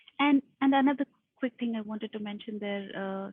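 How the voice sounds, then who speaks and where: A woman's voice at a medium pitch, with music in the background. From India. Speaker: delivery lead. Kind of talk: video interview.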